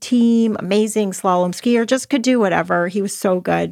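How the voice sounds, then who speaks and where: With a Canadian accent, a woman speaks in a normal speaking voice at medium pitch with fairly even intonation, the recording very clean with a silent background and a dry, close sound with no echo. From Canada, Toronto. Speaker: podcast host, author and entrepreneur. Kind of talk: personal storytelling and motivational talk.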